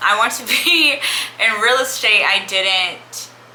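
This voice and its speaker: Noticeable background noise and audible room echo accompany a woman's speech. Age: 20s. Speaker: lifestyle vlogger. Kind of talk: casual chat. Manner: rambling, conversational.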